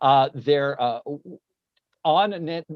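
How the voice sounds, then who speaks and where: A man's fairly high-pitched voice comes through in a dry, close sound with no echo. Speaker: educator and webinar host. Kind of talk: casual conversation. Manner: fast.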